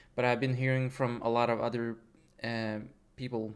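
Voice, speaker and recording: In a flat, monotone delivery, a man speaks at a moderate pace with a medium pitch. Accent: non-native. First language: not English. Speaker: gaming YouTuber. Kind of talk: casual rant over gameplay. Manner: halting, many fillers and restarts.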